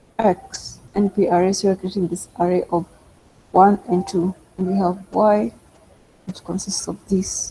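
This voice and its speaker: A woman's medium-pitched, monotone voice at a fairly slow pace with long, frequent pauses, over noticeable background noise. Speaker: data science instructor. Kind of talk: online tutorial.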